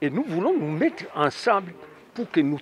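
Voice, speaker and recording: His pitch swings very widely as the man speaks. The sound is dry with no echo, and light noise runs in the background. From DR Congo. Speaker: party official. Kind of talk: interview. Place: street. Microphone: handheld.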